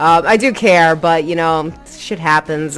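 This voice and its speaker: Over music in the background, a woman speaks with a very deep, low pitch. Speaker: gaming tutorial youtuber. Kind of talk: tutorial. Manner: casual.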